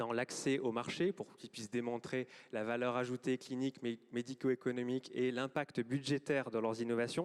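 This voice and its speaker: This man speaks at a medium pitch with fairly even intonation. The sound is dry and close, with no echo. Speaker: government health official. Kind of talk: closing speech. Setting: auditorium with audience. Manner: fast; hesitant, many fillers.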